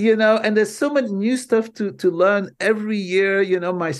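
With a Flemish Belgian accent, a man talks at a moderate pace and a high pitch, varying it in an ordinary way. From Belgium. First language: Dutch. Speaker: marketing professor. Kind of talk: interview.

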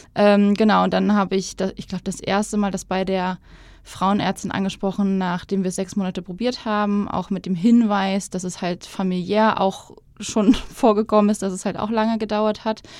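Over a silent background on a very clean recording, a woman speaks at a moderate pace in a medium pitch with monotone, flat intonation. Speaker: podcast guest sharing her fertility treatment story. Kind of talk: casual interview.

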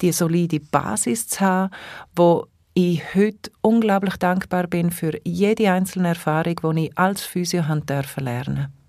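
A Swiss accent at a moderate pace, in a very clean recording with a silent background. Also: woman, fairly low pitch for a woman, ordinary pitch variation. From Switzerland, Engadin. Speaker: holistic therapist and coach. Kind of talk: casual interview. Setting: studio.

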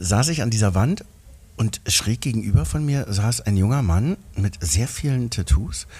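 A man speaks at a fairly slow pace in a fairly low, dark and mellow voice, somewhat breathy, with lively intonation. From East Berlin. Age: 50s. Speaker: actor and singer. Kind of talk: casual chat. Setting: restaurant.

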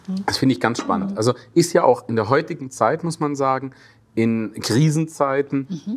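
Moderate pace from a man with a fairly high pitch and lively intonation, plus noticeable background noise. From Swabia, Germany. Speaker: actor and talk show host. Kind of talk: casual interview.

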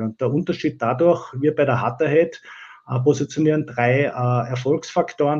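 A man with a fairly high pitch and a dark, mellow tone speaks at a moderate pace. His voice is somewhat breathy, with ordinary pitch variation over a quiet background. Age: 40s. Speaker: digital transformation consultant and company owner. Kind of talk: interview. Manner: hesitant, many filler sounds.

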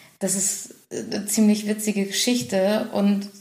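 Noticeable background noise and audible room echo around a woman's medium-pitched voice with fairly even intonation. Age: 30s. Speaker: business consultant and company director. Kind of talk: podcast interview.

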